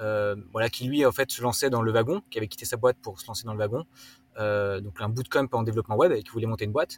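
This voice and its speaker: Talking at a very fast pace, a man uses a medium pitch with ordinary pitch variation and big swings in loudness, somewhat breathy. The sound is dry and close with no echo, a very clean recording over a silent background. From Alsace, France (rural, near Swiss border). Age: 30s. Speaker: startup co-founder, carbon accounting. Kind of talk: casual interview. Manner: halting, many filler words.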